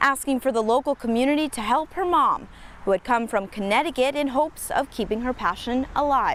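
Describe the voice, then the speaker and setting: Music plays in the background as a woman speaks at a high pitch. Her pace is moderate and her pitch variation ordinary. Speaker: TV news reporter and fill-in anchor. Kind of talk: broadcast news voiceover and live shot delivery. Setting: TV news field reporting.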